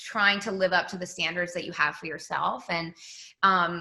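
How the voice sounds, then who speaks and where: A woman's voice with an American accent and a bright, sharp tone. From Massachusetts, Boston. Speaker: pop singer. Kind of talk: casual interview.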